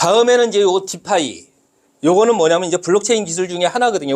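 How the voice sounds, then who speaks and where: A loud man talks with a high pitch and lively intonation. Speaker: lecturer. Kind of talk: lecture. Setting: classroom with audience. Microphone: no microphone, unamplified voice.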